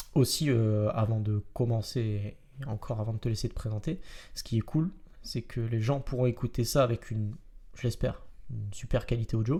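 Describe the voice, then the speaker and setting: This man's voice is somewhat breathy, with ordinary pitch variation. His tone is dark and mellow. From Marseille, southern France. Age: 20s. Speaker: metalworker and podcast host. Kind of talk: casual podcast chat. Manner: hesitant, many fillers.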